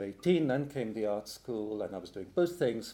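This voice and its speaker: The speaker has a British accent, a moderate pace and ordinary pitch variation. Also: man. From England (Hungarian-born, moved to UK at 8). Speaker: poet and literary translator. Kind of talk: panel talk at academic roundtable.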